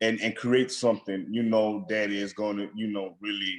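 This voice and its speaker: Speaking at a moderate pace, a man with a medium pitch talks in a Southern accent. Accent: Southern, noticeably country. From Alabama. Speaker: food blogger, former engineer. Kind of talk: podcast interview. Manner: repeats words, halting restarts.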